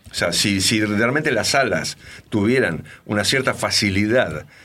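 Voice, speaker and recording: A man's fairly low voice, bright and sharp in tone, at a fairly slow pace. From Argentina. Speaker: rock and blues singer and bassist. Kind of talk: interview. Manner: halting.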